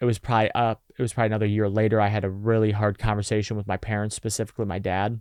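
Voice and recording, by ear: With vocal fry and a slightly mellow tone, a man talks at a fairly quick pace and fairly low pitch with fairly even intonation.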